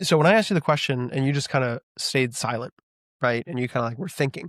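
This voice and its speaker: On a very clean recording with a silent background and a dry, close sound with no echo, a man talks very fast at a fairly high pitch with ordinary pitch variation. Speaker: relationship podcast co-host. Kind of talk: casual chat. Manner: intense.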